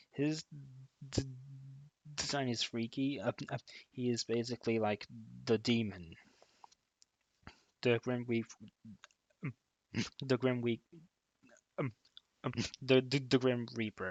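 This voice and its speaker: A man's put-on character voice, mumbling at a fairly slow pace with long, frequent pauses, medium in pitch, dry and close with no echo. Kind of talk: hesitant, with many fillers.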